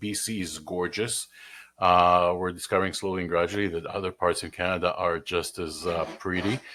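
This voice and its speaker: A man with a slight Israeli accent, a bright, sharp tone and monotone, flat intonation, at a moderate pace in a very clean recording with a silent background. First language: Hebrew. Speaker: mortgage broker. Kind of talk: personal introduction video.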